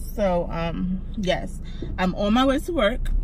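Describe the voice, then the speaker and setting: The sound is dry with no echo as a woman talks over loud background noise. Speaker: vlogger. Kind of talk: casual vlog chat. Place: car. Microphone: phone near.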